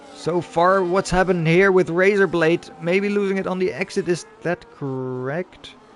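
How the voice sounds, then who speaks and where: Over noticeable background noise, a man with a high voice speaks at a moderate pace with ordinary pitch variation. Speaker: sim racing league commentator. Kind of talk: live commentary. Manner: animated.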